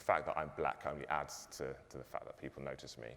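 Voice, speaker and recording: This is a man speaking. His voice carries vocal fry. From London (Tottenham). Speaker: pension fund executive. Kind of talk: panel discussion.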